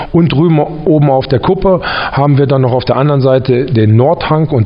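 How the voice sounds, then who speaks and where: A man's medium-pitched voice at a fairly quick pace, with hardly any pauses, very even loudness and ordinary pitch variation, plus noticeable background noise and audible room echo. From Harz region, Lower Saxony, Germany. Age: 40s. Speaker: ski lift operations manager. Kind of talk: interview. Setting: snow groomer garage.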